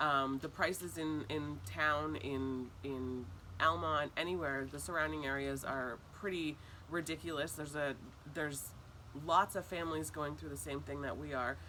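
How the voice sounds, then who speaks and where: A woman talks at a moderate pace in a very deep, low voice with a bright, sharp tone and vocal fry. Her intonation is lively. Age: 30s. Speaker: parent facing eviction. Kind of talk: interview testimony. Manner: hesitant, many fillers.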